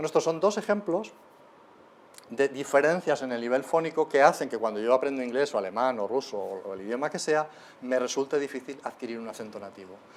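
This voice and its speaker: Talking at a fairly quick pace with a Spanish accent, a man uses lively intonation and big swings in loudness. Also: fairly high pitch for a man. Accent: Peninsular Spanish. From Spain. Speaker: linguistics lecturer. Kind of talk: lecture. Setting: lecture hall with live audience. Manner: animated.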